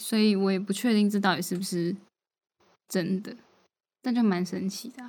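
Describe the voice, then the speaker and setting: A somewhat breathy woman talks at a moderate pace and a medium pitch, with fairly even intonation. Her loudness swings widely, and she leaves long, frequent pauses. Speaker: podcast co-host. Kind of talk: casual chat.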